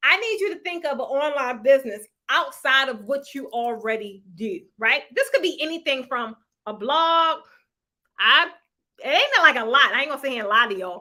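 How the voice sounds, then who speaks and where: Raised and projected, a woman's high voice carries a bright, sharp, animated tone. Her intonation is lively and her pace moderate. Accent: American. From Baltimore, Maryland, US. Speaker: online business coach and YouTuber. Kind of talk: livestream motivational talk. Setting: live stream.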